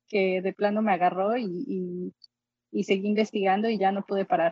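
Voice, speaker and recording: The voice has a dark, mellow tone and fairly even intonation, moving at a fairly quick pace in a dry, close sound with no echo. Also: woman. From Mexico, Xalapa, Veracruz. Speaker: pianist and musicologist. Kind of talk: interview.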